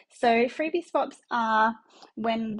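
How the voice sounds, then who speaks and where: A somewhat breathy woman's voice with an Australian accent. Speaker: business coach. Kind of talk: conference presentation. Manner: hesitant with frequent fillers.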